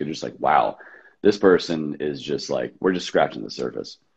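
A man with a very deep, low voice and vocal fry, at a fairly quick pace. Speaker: entrepreneur and podcaster. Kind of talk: casual chat.

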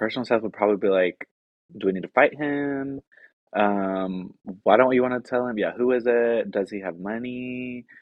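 In a normal speaking voice with an American accent, a man talks at a medium pitch and moderate pace with ordinary pitch variation. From US South, Tennessee (small town outside Nashville). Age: 20s. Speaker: social work master's student and rehab counselor. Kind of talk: casual interview chat. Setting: home, guest in host's living room.

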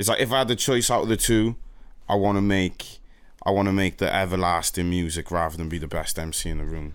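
A plain, everyday voice from a man, fairly low-pitched with ordinary pitch variation, at a fairly quick pace on a very clean recording with a silent background. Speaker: rapper, nominated artist.

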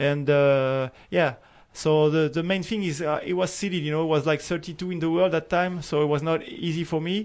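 A man with a French accent speaks at a fairly high pitch. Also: fairly even intonation, fairly quick pace. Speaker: professional tennis player. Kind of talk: interview. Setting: studio. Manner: halting.

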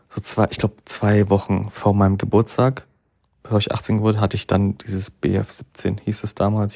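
A man speaks at a moderate pace with a fairly low pitch and a dark, mellow tone. His intonation stays monotone and flat. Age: 20s. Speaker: podcast host. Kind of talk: casual monologue. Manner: hesitant, many fillers.

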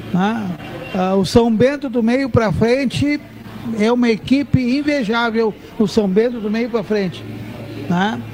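A man talks in an extremely high voice with ordinary pitch variation, at a fairly slow pace. Long, frequent pauses break his speech over noticeable background noise. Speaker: football club president. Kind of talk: casual chat. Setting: live radio broadcast from a bar.

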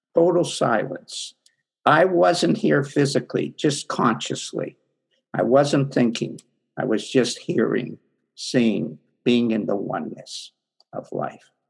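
A man speaks at a very slow pace with long, frequent pauses. His pitch swings very widely, and there is vocal fry. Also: medium pitch for a man. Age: 70s. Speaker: spiritual teacher and coach. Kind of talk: casual interview conversation. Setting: video call.

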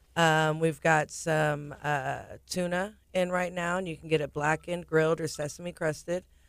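With an American accent, a woman talks in a very deep, low pitch and a monotone, flat intonation. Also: moderate pace. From Galveston, Texas. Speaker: restaurant general manager. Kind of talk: radio interview. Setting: studio.

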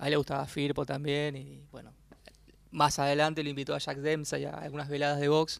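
Heard on a very clean recording with a silent background, a man talks at a fairly quick pace with monotone, flat intonation and big swings in loudness. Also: fairly high pitch for a man. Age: 40s. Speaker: journalist and author. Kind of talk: radio interview.

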